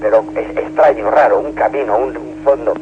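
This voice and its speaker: A man talks at a moderate tempo while noticeable noise sits in the background. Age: 60s. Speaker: caller. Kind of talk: radio call-in story. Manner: halting.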